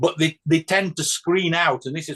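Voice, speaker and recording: At a moderate pace, a man talks with a British accent. His voice sits at a fairly high pitch. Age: 60s. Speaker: church discussion participant. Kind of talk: group discussion on video call. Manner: halting, many repetitions and fillers.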